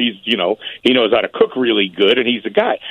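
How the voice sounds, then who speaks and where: A man speaks with a Chicago accent. He talks at a very fast pace. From Chicago area (Berwyn). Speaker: barbecue chef. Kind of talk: casual interview.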